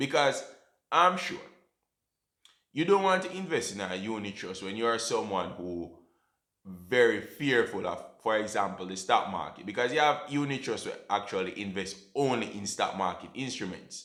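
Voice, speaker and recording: In a Jamaican accent, a man of medium pitch speaks at a moderate pace with a bright, sharp tone and very wide pitch swings. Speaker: personal finance YouTuber. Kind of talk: educational talk to camera. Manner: casual, conversational.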